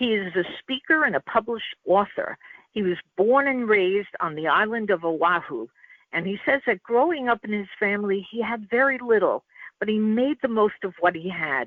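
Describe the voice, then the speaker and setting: Her voice is a plain, everyday voice, pitched fairly high. She moves at a moderate pace, and her intonation is lively. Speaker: radio show host. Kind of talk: show intro.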